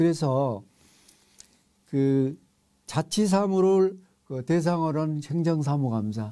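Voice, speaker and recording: Speaking at a very slow pace with long, frequent pauses, a man uses lively intonation. His voice is fairly high in pitch with a dark, mellow tone. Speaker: professor. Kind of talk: lecture. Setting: online lecture recording. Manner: halting with fillers.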